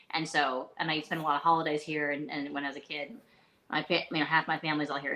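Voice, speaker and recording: A woman's very deep, low voice with a bright, sharp tone, fairly even intonation and a fairly quick pace. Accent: American. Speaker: leadership coach. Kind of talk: live interview. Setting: live video stream.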